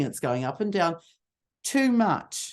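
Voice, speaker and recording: A woman's medium-pitched voice with very wide pitch swings. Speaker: communication skills trainer. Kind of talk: workshop presentation. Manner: animated; authoritative.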